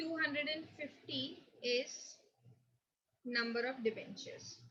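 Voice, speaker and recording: Against a quiet background, a woman projects a raised, high-pitched voice at a fairly slow pace with ordinary pitch variation. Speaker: accountancy teacher. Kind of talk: lecture. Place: home room. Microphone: webcam.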